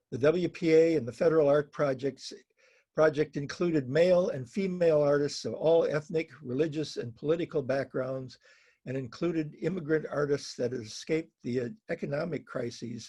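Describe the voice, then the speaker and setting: Man's voice, somewhat breathy, pitch varying in an ordinary way. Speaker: print dealer. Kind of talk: slide presentation. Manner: halting, self-correcting.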